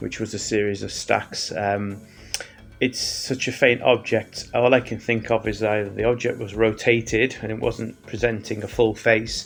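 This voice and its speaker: With music in the background, the voice holds a monotone, flat intonation at a moderate pace. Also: man, medium pitch for a man. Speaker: amateur astronomy youtuber. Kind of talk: casual video narration. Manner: hesitant, many fillers.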